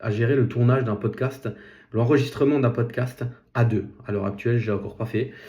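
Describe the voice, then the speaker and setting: Somewhat breathy, a man at medium pitch talks at a fairly quick pace. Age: 30s. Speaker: podcast host, nurse and property investor. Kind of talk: solo podcast monologue. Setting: self-filmed vlog. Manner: halting, many fillers.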